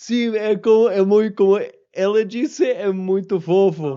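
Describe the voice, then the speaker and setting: A man with a high pitch talks at a fairly slow pace, using ordinary pitch variation. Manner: cute, charming.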